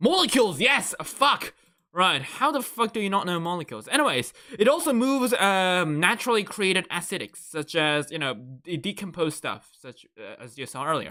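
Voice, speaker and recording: In a raised, projected voice, a man speaks at a moderate pace with a high pitch, very wide pitch swings, a bright, sharp tone and big swings in loudness, on a very clean recording with a silent background. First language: not English. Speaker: VTuber streamer. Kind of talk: casual live stream while studying notes. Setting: live stream. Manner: halting.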